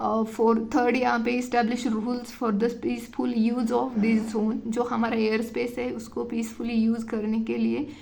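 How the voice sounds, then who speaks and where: A woman's monotone, flat delivery with hardly any pauses, amid noticeable background noise and audible room echo. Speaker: UPSC exam tutor. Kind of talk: tutorial. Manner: hesitant with fillers.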